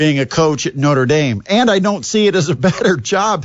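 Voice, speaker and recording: An unremarkable speaking voice at a fairly slow pace. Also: man. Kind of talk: radio dj patter. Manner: brisk, upbeat sign-on and sign-off patter that plugs the station and schedule.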